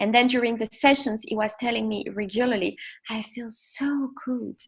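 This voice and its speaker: Her pitch is fairly high. The woman speaks with a non-native accent. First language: not English. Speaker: sophrologist and children's mindfulness coach. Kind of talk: parenting class talk. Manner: halting, many fillers.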